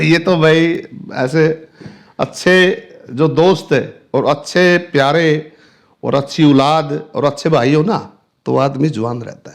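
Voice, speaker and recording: A man speaks at a fairly high pitch with fairly even intonation, his loudness swinging widely. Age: 60s. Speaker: businessman. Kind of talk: interview. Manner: halting.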